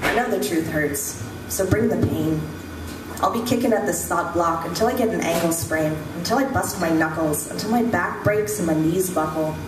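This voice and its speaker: Moderate-paced speech from a woman, noticeable background noise behind it. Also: fairly low pitch for a woman. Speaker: slam poet. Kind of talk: slam poetry performance. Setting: live stage with microphone. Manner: intense, rhythmic.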